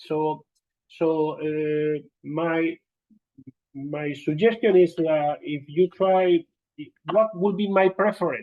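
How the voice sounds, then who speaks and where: A man with a Spanish accent speaks at a very slow pace, leaving long, frequent pauses. His pitch is high, with ordinary variation. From Spain. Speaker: occupational safety and health trainer. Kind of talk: lecture. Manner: halting, many fillers.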